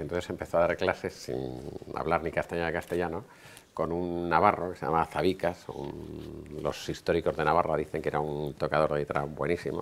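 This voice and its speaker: Using a very deep, low pitch and vocal fry, a man speaks at a fairly quick pace with fairly even intonation. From Spain. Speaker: hotel business owner; guest. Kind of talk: lecture. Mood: relaxed, storytelling. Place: hall. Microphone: podium.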